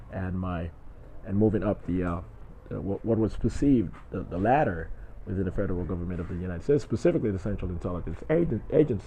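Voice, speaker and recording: With an American accent, a man talks at a very fast pace with lively intonation. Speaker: vlogger. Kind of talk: personal video monologue. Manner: halting, many fillers and repetitions.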